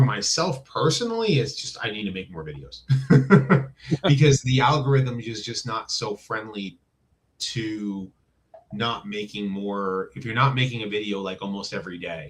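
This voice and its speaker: A man with an American accent and an unremarkable speaking voice talks at a moderate pace and medium pitch, with lively intonation and big swings in loudness. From New Jersey. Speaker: YouTuber, toy reviewer. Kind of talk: casual interview chat.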